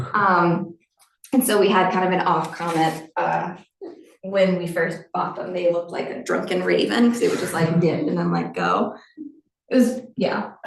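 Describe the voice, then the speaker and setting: Audible room echo surrounds a woman speaking at a moderate pace, her pitch fairly low with ordinary variation. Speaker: research professor and lab director. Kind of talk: lecture.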